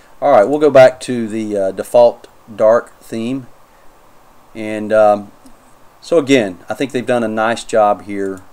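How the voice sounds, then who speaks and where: A man speaks with a North Carolina accent, his fairly low pitch rising and falling in an ordinary way. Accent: North Carolina accent (self-noted). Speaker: Linux YouTuber, software reviewer. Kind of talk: tutorial, software review walkthrough. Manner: casual, hesitant with fillers.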